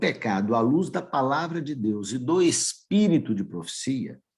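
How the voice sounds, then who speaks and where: The speaker goes at a very slow pace, with very wide pitch swings. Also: man. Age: 60s. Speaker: lay preacher. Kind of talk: sermon.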